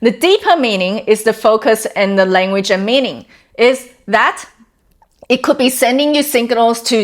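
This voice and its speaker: This woman has a normal speaking voice with a fairly high pitch. She talks at a moderate pace. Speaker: wellness coach. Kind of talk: talking-head explainer video.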